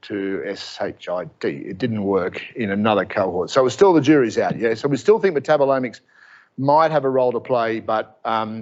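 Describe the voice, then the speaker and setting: A man speaks at a medium pitch with an Australian accent. His pace is fairly quick. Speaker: professor. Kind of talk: lecture. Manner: fast; animated.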